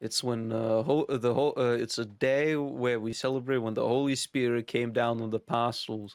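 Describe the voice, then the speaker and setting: Speaking with a non-native accent, a man at medium pitch keeps a moderate pace, hardly any pauses and a monotone, flat intonation. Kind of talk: casual explanation.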